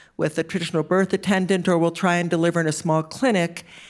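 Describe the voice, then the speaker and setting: On a very clean recording with a silent background, a woman speaks at a fairly quick pace in a monotone, flat intonation. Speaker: physician and nonprofit co-founder, award winner. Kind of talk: interview on stage. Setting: stage with audience.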